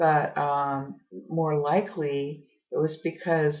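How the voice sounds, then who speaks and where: A woman speaks in a very deep, low voice that is somewhat breathy. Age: 60s. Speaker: home business promoter and artist. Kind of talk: casual monologue. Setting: home art studio office. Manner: halting, many fillers.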